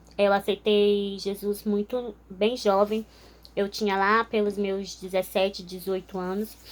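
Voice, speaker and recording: A woman speaks very slowly in a monotone, flat intonation. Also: medium pitch for a woman. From northern Brazil, Altamira (Pará). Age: 20s. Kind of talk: testimony. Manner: informal, with frequent filler hesitations.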